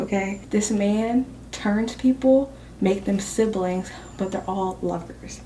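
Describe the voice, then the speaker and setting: A woman whispers in a somewhat breathy voice. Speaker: booktuber vlogger. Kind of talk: casual vlog chat. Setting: at work. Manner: whispering.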